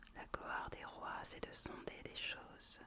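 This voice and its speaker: Whispering at a very slow pace, a woman can be heard over noticeable background noise. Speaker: ASMR content creator. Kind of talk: whispered Bible reading for relaxation. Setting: close to the microphone. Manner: whispered, soft, slow.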